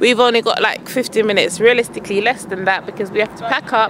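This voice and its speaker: Noticeable background noise sits under a woman's voice in a dry sound with no echo. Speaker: parent coaching son. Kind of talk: casual vlog chat. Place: open country. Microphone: phone near.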